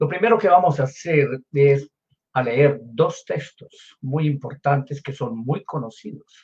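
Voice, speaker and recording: Somewhat breathy, a man speaks at a fairly slow pace. His voice is fairly high, with ordinary pitch variation. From Colombia. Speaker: pastor. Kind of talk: sermon.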